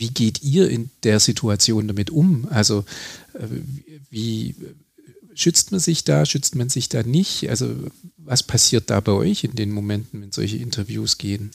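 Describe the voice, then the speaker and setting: Somewhat breathy, a man speaks with lively intonation and long, frequent pauses. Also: medium pitch for a man, fairly slow pace. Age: 40s. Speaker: museum director and podcast host. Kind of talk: interview.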